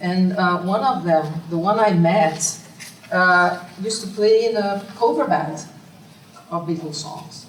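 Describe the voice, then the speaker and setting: In a Brazilian accent, a woman speaks at a fairly slow pace with long, frequent pauses, amid audible room echo and noticeable background noise. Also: medium pitch for a woman, ordinary pitch variation. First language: Portuguese. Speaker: academic researcher. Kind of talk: conference Q&A. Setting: conference room with audience. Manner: halting.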